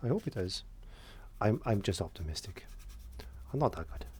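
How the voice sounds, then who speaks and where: A man's dark, mellow, somewhat breathy voice in an English accent, moving at a fairly quick pace. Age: 60s. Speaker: painting tutor and window cleaner. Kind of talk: painting tutorial chat. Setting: studio. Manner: halting.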